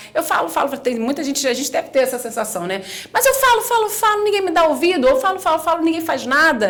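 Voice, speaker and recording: Noticeable background noise surrounds a woman talking at a very fast pace. Her pitch is extremely high and swings very widely. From Rio de Janeiro, Brazil. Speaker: communication and public speaking specialist. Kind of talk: podcast interview.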